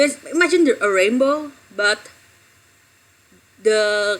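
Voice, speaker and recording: With an Indonesian accent, a woman speaks fairly slowly at a fairly high pitch, her intonation lively. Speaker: streamer. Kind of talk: casual live stream chat. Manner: halting.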